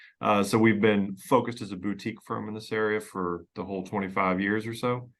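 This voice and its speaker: Speaking at a fairly quick pace, a man with an American accent keeps a fairly low pitch and fairly even intonation over a quiet background. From Pennsylvania, US. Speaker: estate planning lawyer. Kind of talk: podcast interview. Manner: conversational, with fillers and repetitions.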